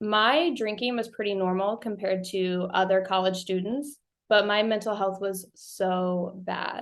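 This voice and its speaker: In an American accent, the speaker talks at a fairly slow pace with fairly even intonation against a quiet background. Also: woman, medium pitch for a woman. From US Midwest, rural Missouri. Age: 30s. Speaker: podcast host, guest. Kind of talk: interview testimony. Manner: casual, conversational.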